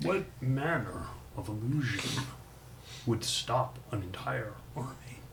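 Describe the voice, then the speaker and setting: A man's put-on character voice at a medium pitch and fairly slow pace, with long, frequent pauses and clear background noise. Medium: actual play. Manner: measured, formal.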